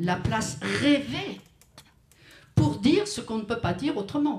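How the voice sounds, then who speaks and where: Her voice somewhat breathy, a woman speaks at a fairly slow pace with very wide pitch swings, and the room echo is audible. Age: 70s. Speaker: writer. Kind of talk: panel discussion at a memorial tribute. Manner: hesitant, with frequent restarts.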